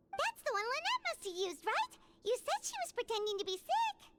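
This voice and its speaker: At a fairly quick pace, a squeaky, put-on character voice speaks at an extremely high pitch. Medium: video game. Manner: curious, questioning.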